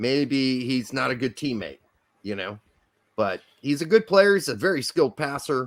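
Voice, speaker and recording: A loud man with an American accent at a medium pitch, very wide pitch swings and a moderate pace, in a very clean recording with a silent background. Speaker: football podcast co-host. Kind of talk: casual chat.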